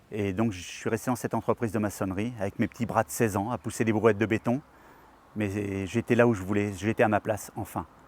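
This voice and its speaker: A man's fairly low voice at a fairly quick pace, monotone and flat, in a dry, close sound with no echo. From France, Perche region (Eure-et-Loir). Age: 60s. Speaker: retired craftsman, local election candidate. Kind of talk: filmed personal portrait, testimony. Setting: outdoors in front of the town hall. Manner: hesitant, with repetitions and fillers.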